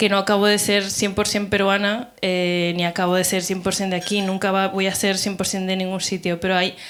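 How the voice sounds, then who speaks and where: A woman speaks with hardly any pauses. Her intonation is monotone and flat. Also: medium pitch for a woman, moderate pace. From Peru (Lima), moved to Barcelona at 11. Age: 30s. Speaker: panel participant, writer. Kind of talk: panel discussion before live audience. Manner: casual, many fillers and self-corrections.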